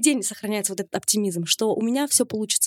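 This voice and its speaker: A woman at a fairly quick pace with very wide pitch swings, in a dry, close sound with no echo. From Kazakhstan. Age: 20s. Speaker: fashion blogger. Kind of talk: interview. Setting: studio.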